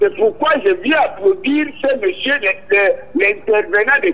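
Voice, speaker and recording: A man's extremely high pitch with very wide pitch swings at a very slow pace. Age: 70s. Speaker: caller. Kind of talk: call-in comment.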